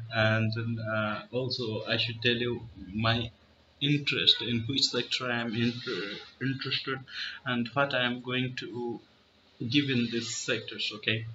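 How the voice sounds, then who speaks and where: In an Indian accent, a man talks at a fairly slow pace. His intonation is monotone and flat. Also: medium pitch for a man. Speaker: chess YouTuber. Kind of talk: casual vlog monologue. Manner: halting, many fillers.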